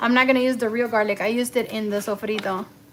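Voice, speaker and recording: A woman is speaking. Her pitch is high. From Cuba. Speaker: cooking livestreamer. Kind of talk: live cooking stream chat. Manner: casual, code-switching English and Spanish.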